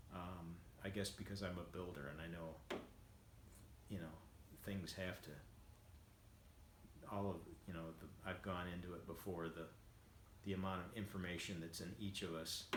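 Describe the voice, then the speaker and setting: A man's very deep, low voice in a flat monotone, at a moderate pace with long, frequent pauses and audible room echo. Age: 60s. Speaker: vlogger and home builder. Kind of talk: casual monologue. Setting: at home after treadmill walk. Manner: halting, many fillers.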